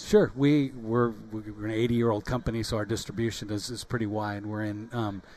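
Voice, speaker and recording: A man's fairly low-pitched voice at a fairly quick pace, with hardly any pauses and a monotone, flat intonation. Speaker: company vice president. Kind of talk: radio interview answer, casual explanation.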